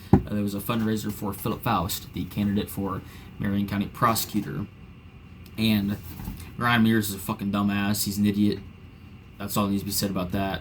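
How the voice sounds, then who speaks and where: Using an American accent, a man with a fairly low pitch talks at a fairly quick pace in a monotone, flat intonation, with long, frequent pauses. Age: 20s. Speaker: political commentator. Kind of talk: casual commentary monologue. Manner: casual, filler-heavy.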